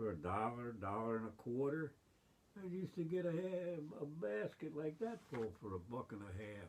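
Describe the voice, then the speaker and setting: A man talks at a medium pitch. His voice moves in very wide pitch swings. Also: moderate pace. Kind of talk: interview answer. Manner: rambling, conversational.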